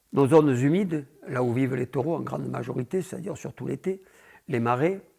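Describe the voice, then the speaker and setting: The recording is very clean, with a silent background. A man with a fairly high pitch speaks with vocal fry. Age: 70s. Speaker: bull breeder. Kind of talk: interview. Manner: halting.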